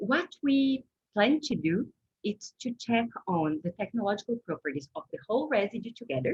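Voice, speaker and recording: A woman's fairly high voice with vocal fry and very wide pitch swings, at a moderate pace, with a dry, close sound and no echo. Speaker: food science researcher. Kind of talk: Q&A after a seminar presentation. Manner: clear communicator.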